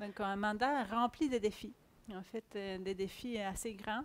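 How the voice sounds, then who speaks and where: At a fairly slow pace, a woman with a fairly high pitch talks with ordinary pitch variation. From Chile, Santiago. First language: Spanish (speaking French). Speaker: agile coach. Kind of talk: conference talk.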